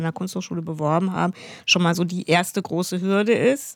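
A woman with an unremarkable speaking voice talks at a moderate pace in a medium pitch with ordinary pitch variation, in a very clean recording with a silent background. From Hesse, near Frankfurt. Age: 50s. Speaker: painter and illustrator. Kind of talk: interview conversation.

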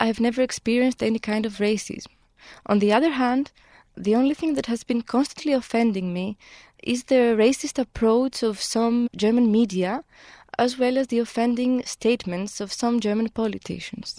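In a Greek accent, a woman with a fairly high pitch speaks at a moderate pace, her dark, mellow tone and fairly even intonation caught in a dry, close sound with no echo. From Greece. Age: 20s. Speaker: lawyer. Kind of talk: interview.

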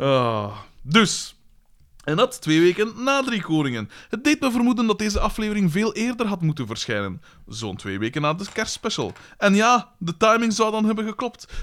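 A man speaks at a high pitch and moderate pace with lively intonation. The recording is very clean, with a silent background. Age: 30s. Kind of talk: casual chat.

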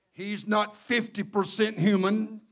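In a Mississippi accent, a man talks very slowly at a high pitch with fairly even intonation. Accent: Southern US (Mississippi). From Mississippi Gulf Coast, US South. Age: 70s. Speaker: Pentecostal bishop and preacher. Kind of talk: sermon. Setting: church with congregation.

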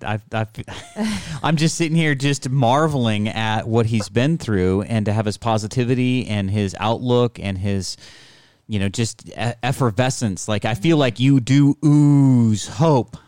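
A man with an ordinary speaking voice, medium in pitch with ordinary pitch variation, at a fairly slow pace on a very clean recording with a silent background. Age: 50s. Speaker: podcast host. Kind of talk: casual interview. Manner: playful, joking.

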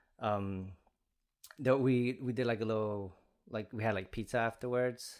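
A man speaks with a Spanish accent. His intonation is fairly even. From Chicago Heights, Illinois. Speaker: visual artist. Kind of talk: casual interview chat. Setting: studio. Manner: casual, conversational.

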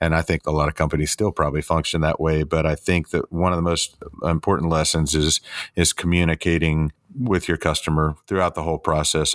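A man with an American accent talks very fast in a very deep, low pitch. His intonation is monotone and flat, and the sound is dry and close with no echo. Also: very clean recording, silent background. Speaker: custom car shop owner and builder. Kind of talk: interview. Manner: casual, with frequent hesitations and repeated words.

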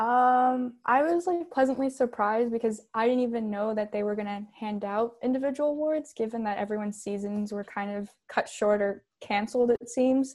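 A woman talks in a normal speaking voice at a fairly high pitch with ordinary pitch variation. Her moderate pace leaves hardly any pauses, on a very clean recording with a silent background. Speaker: college fencer. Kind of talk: interview.

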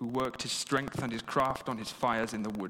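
With an English accent, a man talks at a medium pitch and a moderate pace. His intonation is fairly even, and there is noticeable background noise. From England. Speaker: novelist. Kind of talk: reading aloud in archaic dialect; talk about his book.

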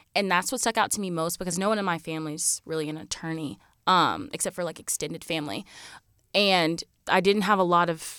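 In a very clean recording with a silent background, a woman with an American accent uses an ordinary speaking voice, fairly low in pitch, moving at a fairly quick pace with lively intonation. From rural South Carolina. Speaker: law student. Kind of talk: casual chat.

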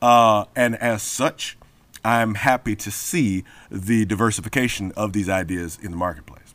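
In an American accent, a normal speaking voice moves at a moderate pace with ordinary pitch variation. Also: man, fairly low pitch for a man. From Memphis, US South. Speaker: comic book writer and poet. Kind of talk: interview.

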